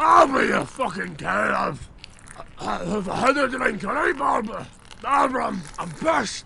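Using a put-on character voice, a man speaks in a raised, projected voice at a high pitch and a moderate pace.

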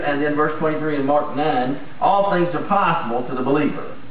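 Room echo and light background noise surround a man speaking in a fairly high pitch. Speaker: pastor. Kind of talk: sermon. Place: church.

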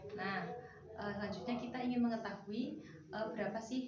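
A woman speaks at a moderate pace with fairly even intonation. Room echo is audible, along with noticeable background noise. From Central Java, Indonesia. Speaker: computer course student. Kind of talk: oral exam interview. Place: home room. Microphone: camera far.

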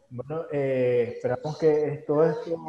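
A man speaks at a fairly slow pace in a fairly high pitch with ordinary pitch variation over noticeable background noise. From Nicaragua. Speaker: webinar host. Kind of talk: live webinar interview. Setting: Facebook Live stream.

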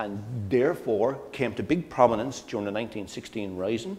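The man's pitch varies in an ordinary way. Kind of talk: lecture. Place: hall. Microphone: lapel.

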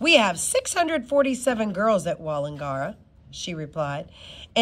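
Text is being read out in a natural-sounding voice.

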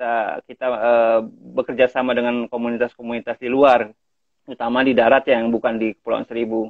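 A man, dry with no echo, over a quiet background. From Thousand Islands, Jakarta; Jakarta. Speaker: community conservation leader. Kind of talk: casual interview. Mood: friendly, relaxed. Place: home room. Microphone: video call.

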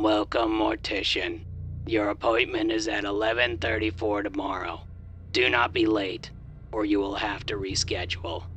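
A man speaks in a put-on character voice with a fairly low pitch, and background noise is clearly heard. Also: moderate pace.

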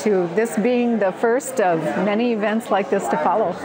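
A moderate pace over noticeable background noise. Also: woman. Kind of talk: interview answer. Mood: cheerful, enthusiastic. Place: farm machine. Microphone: lapel.

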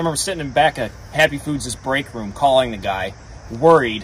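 Lively intonation from a man over light background noise. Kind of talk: casual vlog chat. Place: garden.

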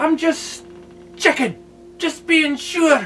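With faint music in the background, a man performs a put-on character voice. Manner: gruff, cursing.

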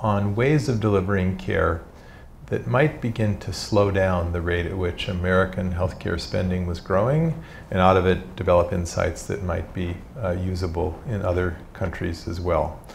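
Light background noise behind a man's very deep, low voice, moderate in pace, with ordinary pitch variation. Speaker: visiting professor. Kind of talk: lecture. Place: hall. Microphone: podium.

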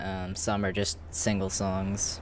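A man speaks at a slow pace. Faint music plays in the background.

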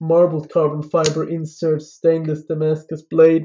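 A man with a fairly high pitch speaks in a monotone, flat way at a moderate pace against a quiet background. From Switzerland. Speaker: knife reviewer YouTuber. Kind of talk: product review.

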